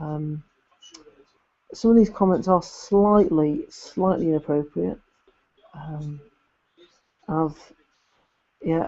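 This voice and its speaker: With an English accent, a man mumbles at a very slow pace with long, frequent pauses, a high pitch with ordinary variation, and big swings in loudness. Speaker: YouTuber doing alternative football commentary. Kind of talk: live stream chat reading viewer comments. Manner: halting, with frequent repetitions and fillers; mumbling.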